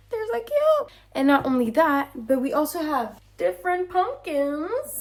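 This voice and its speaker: A woman's intonation is lively, heard over noticeable background noise. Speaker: vlogger. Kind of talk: casual vlog talk. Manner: animated.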